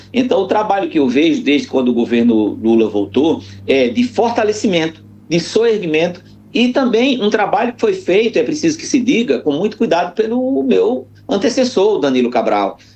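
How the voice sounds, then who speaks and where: A man talks high for his sex at a moderate pace, his pitch swinging very widely. Noticeable background noise is present. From Northeast Brazil. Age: 60s. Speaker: public agency head. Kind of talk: radio interview. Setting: phone call. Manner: halting, many fillers.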